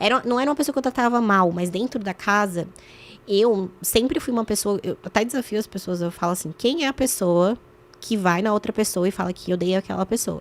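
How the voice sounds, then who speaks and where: With an unremarkable speaking voice, a woman talks fairly quickly at medium pitch and ordinary pitch variation over a very clean recording with a silent background. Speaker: former reality show contestant and journalist. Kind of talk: podcast interview.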